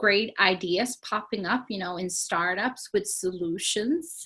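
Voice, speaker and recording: Against a quiet background, a woman speaks with a Swedish accent. Her tone is bright and sharp, and her pace fairly slow. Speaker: sustainability non-profit leader. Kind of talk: interview. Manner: animated.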